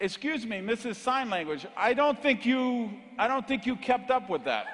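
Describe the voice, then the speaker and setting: Speaking at an extremely high pitch for a man with ordinary pitch variation, a man keeps a moderate pace over noticeable background noise. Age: 50s. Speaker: motivational speaker. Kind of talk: keynote speech. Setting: stage with audience. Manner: animated.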